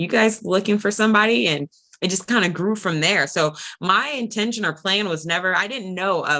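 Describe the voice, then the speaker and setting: At a fairly quick pace, a woman with an American accent speaks at a fairly low pitch. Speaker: property management regional manager. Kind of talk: interview. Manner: halting.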